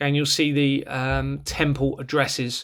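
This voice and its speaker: On a very clean recording with a silent background, a man with a southern English accent speaks at a fairly high pitch in a flat monotone. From southern England, Bournemouth. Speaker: former police officer turned online campaigner. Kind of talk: screen-share video monologue. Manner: fast; hesitant with fillers.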